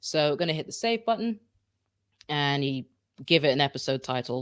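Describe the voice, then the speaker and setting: On a very clean recording with a silent background, a man speaks fairly quickly at a fairly high pitch. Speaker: podcasting tutorial host. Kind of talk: live-streamed tutorial; demo podcast recording. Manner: casual, chatty; loud, shouting a little.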